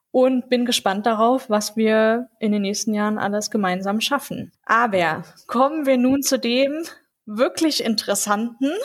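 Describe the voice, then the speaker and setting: A woman with a normal speaking voice, fairly high-pitched, at a fairly slow pace with ordinary pitch variation. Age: 20s. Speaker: law student and youth group leader. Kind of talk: casual podcast chat.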